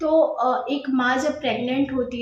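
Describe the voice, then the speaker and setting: This woman's voice sits high in pitch, with fairly even intonation. The recording carries noticeable background noise and audible room echo. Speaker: YouTuber sharing pregnancy experience. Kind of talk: casual vlog talk. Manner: hesitant with filler sounds.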